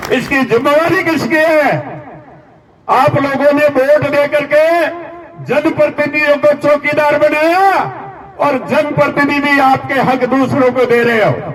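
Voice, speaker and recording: A man's extremely high-pitched voice at very even loudness, with audible room echo and noticeable background noise. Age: 70s. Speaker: community leader. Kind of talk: political rally speech. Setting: stage with audience. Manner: animated.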